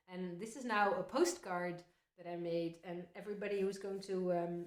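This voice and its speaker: A woman with a Dutch accent talks at a medium pitch and moderate pace in a monotone, flat intonation. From Netherlands. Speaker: folk singer. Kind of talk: casual chat between songs.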